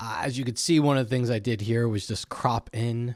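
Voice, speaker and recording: A man's voice comes through dry and close, with no echo. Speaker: photographer and photo editing educator. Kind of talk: screen-recorded editing walkthrough. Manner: casual with fillers; fast.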